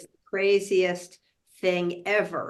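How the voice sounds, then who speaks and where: A woman with an American accent at a medium pitch, speaking at a very slow pace over a quiet background. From Massachusetts. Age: 70s. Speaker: confidence coach. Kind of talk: interview.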